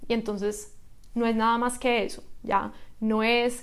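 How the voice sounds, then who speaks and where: A woman speaks with a fairly high pitch and monotone, flat intonation. Audible room echo surrounds her voice. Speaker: writer and lawyer. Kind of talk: interview. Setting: in-person studio.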